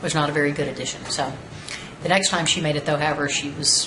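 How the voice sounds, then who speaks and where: Amid audible room echo and noticeable background noise, a woman with a Texan accent speaks at a fairly quick pace in a very deep, low pitch. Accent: Texan American English. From Texas, Houston. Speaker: storyteller. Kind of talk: personal anecdote monologue. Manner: casual, conversational.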